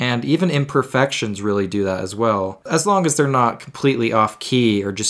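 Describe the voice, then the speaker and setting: A man speaks at a medium pitch in an unremarkable speaking voice. The rise and fall of his pitch is ordinary. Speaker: music podcast host. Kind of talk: solo podcast monologue about music. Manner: casual, a bit self-deprecating, improvises.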